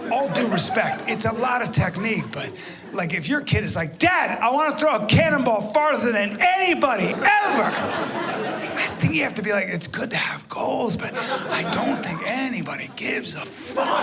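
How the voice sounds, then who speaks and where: Over noticeable background noise, a man talks at an extremely high pitch with very wide pitch swings and hardly any pauses. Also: moderate pace. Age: 50s. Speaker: stand-up comedian. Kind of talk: stand-up comedy set. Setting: live comedy club.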